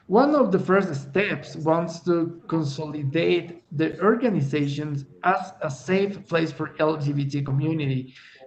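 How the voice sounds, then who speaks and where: Speaking with a Spanish accent at a fairly slow pace, a man keeps his fairly high voice going with hardly any pauses and ordinary pitch variation. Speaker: LGBT activist, NGO worker. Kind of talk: webinar presentation. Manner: halting.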